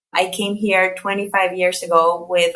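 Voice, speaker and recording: A woman's medium-pitched voice with a Colombian accent, bright and sharp in tone, flat and monotone, at a fairly slow pace. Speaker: therapist and nonprofit executive director. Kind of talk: podcast interview.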